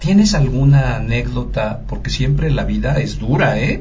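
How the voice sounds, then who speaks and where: A man is heard with audible room echo. There is noticeable background noise too. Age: old. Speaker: radio network director, guest interviewer. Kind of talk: interview. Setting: studio.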